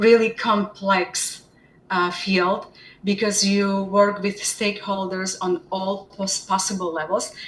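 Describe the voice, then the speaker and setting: Someone speaks at a very slow pace in a Slovak accent. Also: woman. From Slovakia. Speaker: special education department head. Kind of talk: interview. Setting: live webinar.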